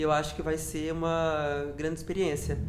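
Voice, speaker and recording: Audible room echo around a man's high voice, moderate in pace. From Brazil, Minas Gerais. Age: 20s. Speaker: DJ and party organizer. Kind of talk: casual interview chat. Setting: at home.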